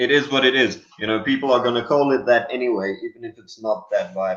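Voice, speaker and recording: A man speaks at a medium pitch with a South African accent. His pitch swings very widely. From South Africa (Lydenburg, Mpumalanga). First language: Afrikaans. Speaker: rock guitarist and singer. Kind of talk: interview.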